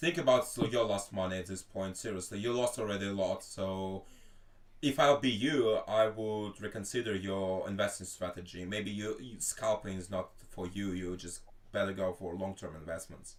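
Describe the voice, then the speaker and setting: At a moderate pace, a man with a Russian accent speaks with ordinary pitch variation. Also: fairly low pitch for a man. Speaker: stream host. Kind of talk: casual group voice chat. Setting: live stream voice chat.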